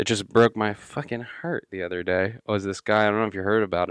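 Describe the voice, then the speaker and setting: A plain, everyday voice from a man, fairly low in pitch with fairly even intonation, sounding dry and close with no echo over a quiet background. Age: 20s. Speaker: podcast co-host. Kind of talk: casual chat.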